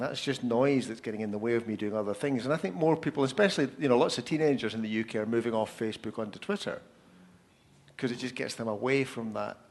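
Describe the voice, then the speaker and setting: A man with a Scottish accent talks at a very fast pace with lively intonation. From Scotland. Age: 50s. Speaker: author, speaker and social media consultant. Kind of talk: panel Q&A answers. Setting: live event with audience.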